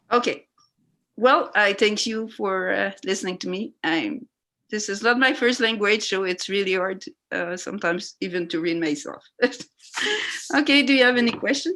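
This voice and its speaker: Lively intonation and a bright, sharp tone mark this woman's fairly high voice, delivered in a French accent. She talks at a moderate pace with long, frequent pauses. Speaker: resident speaking at council public hearing. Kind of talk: public hearing testimony. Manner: halting, many hesitations.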